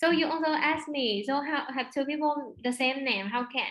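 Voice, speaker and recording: A woman with a high pitch and a Vietnamese accent. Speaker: overseas student. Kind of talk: interview. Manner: halting.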